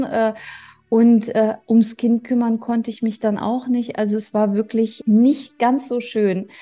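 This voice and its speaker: A woman's somewhat breathy, dark and mellow voice, fairly high in pitch, at a fairly slow pace. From Germany. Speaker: podcast host. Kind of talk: personal monologue.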